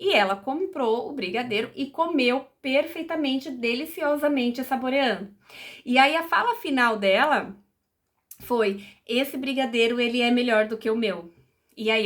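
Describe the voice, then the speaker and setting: Her voice sits high for a woman. She speaks with lively intonation. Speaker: psychologist. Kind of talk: educational talk. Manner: conversational, many fillers.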